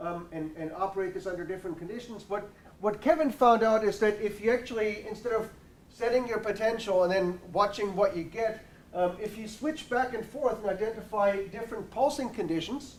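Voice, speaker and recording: Loud and quick-paced, though only fairly so in speed, a man speaks in a high pitch. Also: ordinary pitch variation. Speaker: university researcher. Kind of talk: seminar presentation.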